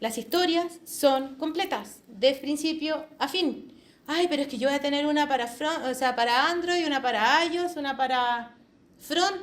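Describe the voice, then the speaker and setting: Audible room echo follows a woman's high-pitched voice, which moves at a fairly slow pace with ordinary pitch variation. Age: 40s. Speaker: agile quality assurance speaker. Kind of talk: conference talk. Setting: hybrid meetup presentation. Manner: animated.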